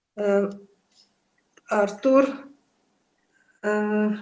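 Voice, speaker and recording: Room echo can be heard. There is also music behind the speech. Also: woman. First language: Polish. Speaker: lecture series moderator. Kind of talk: online lecture discussion. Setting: video call. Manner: halting, many fillers.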